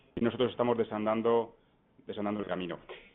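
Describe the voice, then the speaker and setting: A man at a medium pitch with ordinary pitch variation and a very fast pace. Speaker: law professor. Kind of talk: conference talk. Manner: hesitant, repeats words.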